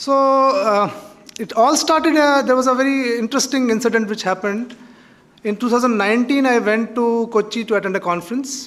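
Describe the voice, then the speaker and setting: Over noticeable background noise, a man with a Kashmiri accent talks at a fairly quick pace in an extremely high pitch. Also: ordinary pitch variation. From Kashmir, India. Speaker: author. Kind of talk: invited talk at college event. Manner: halting, many fillers.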